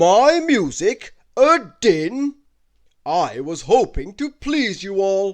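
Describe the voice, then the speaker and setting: Loud and very slow, a man performs a put-on character voice pitched high for a man, with very wide pitch swings over a quiet background. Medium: read story. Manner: loud, booming.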